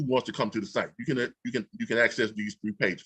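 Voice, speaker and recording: A man speaks very fast, his pitch swinging very widely. His tone is bright and sharp, and the sound is dry and close with no echo. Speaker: online business trainer. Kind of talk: tutorial. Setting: livestream on YouTube.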